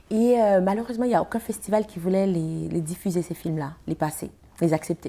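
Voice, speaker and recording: A woman with a Haitian accent talking at a fairly quick pace, her pitch varying in an ordinary way. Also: medium pitch for a woman. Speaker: actress and film festival founder. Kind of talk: TV interview.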